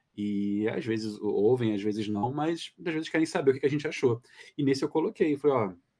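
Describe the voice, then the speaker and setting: A man's voice at medium pitch, dark and mellow in tone, with lively intonation and a fairly quick pace. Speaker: dubbing director. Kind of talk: casual chat. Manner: calm.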